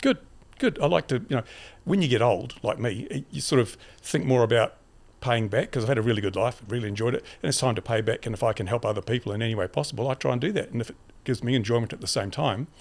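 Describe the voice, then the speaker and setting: Speaking very fast, a man uses an Australian accent. His pitch is medium, with ordinary variation. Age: 70s. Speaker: YouTuber and community advocate. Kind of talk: casual interview. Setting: podcast couch. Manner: halting.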